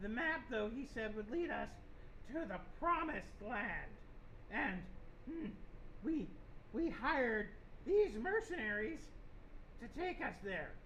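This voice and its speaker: A fairly high-pitched put-on character voice goes at a fairly slow pace with long, frequent pauses over clear background noise. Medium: actual play. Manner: blunt, clipped, simple phrasing.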